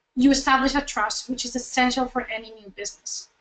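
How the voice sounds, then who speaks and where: Raising and projecting her voice, a woman speaks at a high pitch. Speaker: nonprofit communications trainer. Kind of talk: webinar presentation. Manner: fast; halting, many fillers and restarts.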